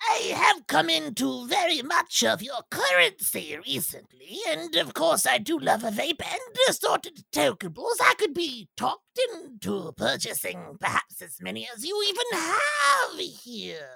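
A put-on character voice moves at a moderate pace with hardly any pauses. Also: man, extremely high pitch for a man. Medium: actual play. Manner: formal, stilted phrasing; nervous.

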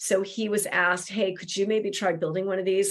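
This woman has a normal speaking voice at medium pitch. She talks at a fairly quick pace. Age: 50s. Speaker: Celtic medicine woman and seer. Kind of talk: casual chat.

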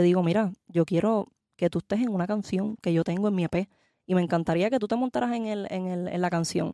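Speaking at a fairly quick pace, a woman with a medium pitch, ordinary pitch variation and a dark, mellow tone comes through a very clean recording with a silent background and a dry, close sound with no echo. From Puerto Rico. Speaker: singer. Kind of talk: interview.

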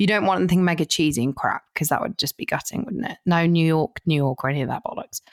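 A woman with a southern English accent, fairly low in pitch, racing at a very fast pace with lively intonation and hardly any pauses. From southern England. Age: 30s. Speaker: DJ and broadcaster. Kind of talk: casual chat. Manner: animated.

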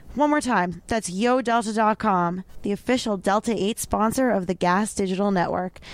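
Heard in a very clean recording with a silent background, a woman talks in an ordinary speaking voice at medium pitch and a moderate pace, with ordinary pitch variation and very even loudness. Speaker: podcast co-host. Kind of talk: casual chat.

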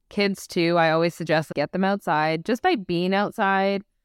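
A woman's normal speaking voice, fairly low in pitch, with fairly even intonation and a moderate pace. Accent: Canadian. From Canada, Vancouver BC. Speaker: sleep expert and behaviour analyst. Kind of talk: podcast interview.

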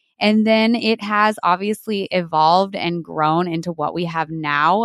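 A woman with an American accent speaks at a medium pitch with ordinary pitch variation, in an ordinary speaking voice. The sound is dry and close, with no echo. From New Mexico, US Southwest. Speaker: dairy farmer and environmental consultant. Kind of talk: interview conversation.

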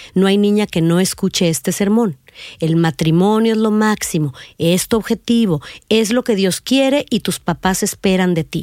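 In a normal speaking voice, a woman talks at a medium pitch and moderate pace with ordinary pitch variation and very even loudness, the sound dry and close with no echo on a very clean recording with a silent background. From northern Mexico, Reynosa, Tamaulipas. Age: 50s. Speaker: podcast host and narrator telling her own story. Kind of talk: scripted narration.

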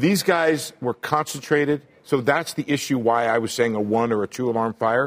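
In a dry, close sound with no echo, a man with an unremarkable speaking voice talks at a moderate pace, with medium pitch and ordinary pitch variation. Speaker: economics reporter. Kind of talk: live TV news panel.

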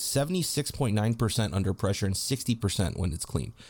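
A man with a normal speaking voice talks at a fairly quick pace and a fairly low pitch, with ordinary pitch variation, on a very clean recording with a silent background. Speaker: podcast co-host. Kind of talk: casual sports podcast analysis, heated and opinionated.

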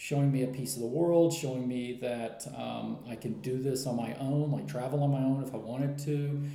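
A man with an American accent, medium pitch, a dark, mellow tone and a somewhat breathy quality, at a moderate pace with audible room echo. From US. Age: 40s. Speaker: writer and traveler. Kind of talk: interview. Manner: halting, with many fillers.

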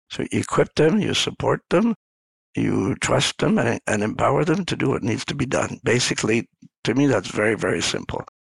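A man at a moderate pace, with dry, close sound and no echo. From rural Ontario, Canada. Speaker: coach and former senior leader. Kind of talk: casual interview conversation.

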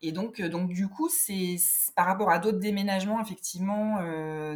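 A woman's somewhat breathy voice sits at a fairly low pitch, with ordinary pitch variation. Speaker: illustrator. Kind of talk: casual interview chat. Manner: hesitant, many fillers.

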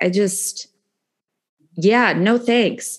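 In an ordinary speaking voice, a woman with an American accent talks at a medium pitch with ordinary pitch variation against a quiet background. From San Francisco Bay Area, California. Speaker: meditation teacher in addiction recovery. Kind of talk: casual interview chat.

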